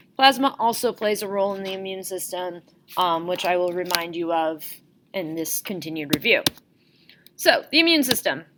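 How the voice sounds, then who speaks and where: A woman's unremarkable speaking voice at medium pitch, with big swings in loudness, on a very clean recording with a silent background. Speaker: school teacher. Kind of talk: lecture. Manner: casual.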